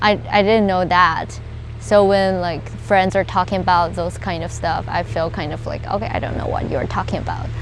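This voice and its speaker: With a Chinese accent, a woman speaks at a medium pitch with ordinary pitch variation. Music sits in the background, and room echo is audible. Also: moderate pace. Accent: Mandarin Chinese. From China. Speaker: university student. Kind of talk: interview. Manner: halting.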